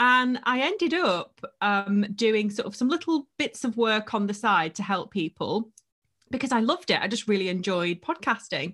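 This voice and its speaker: This woman has a plain, everyday voice with a fairly high pitch. She speaks at a moderate pace with lively intonation. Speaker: podcast coach and agency owner. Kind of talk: casual interview chat.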